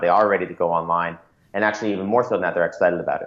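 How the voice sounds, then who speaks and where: In an American accent, a man talks very fast at a fairly low pitch, his intonation monotone and flat. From Florida. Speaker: startup founder and CEO. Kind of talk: interview.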